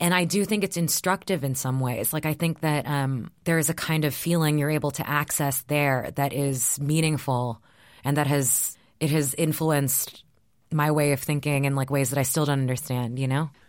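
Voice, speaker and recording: A woman with an American accent speaks at a very deep, low pitch and a moderate pace. Her intonation is fairly even, and her loudness stays very even. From Texas. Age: 30s. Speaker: writer. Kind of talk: interview.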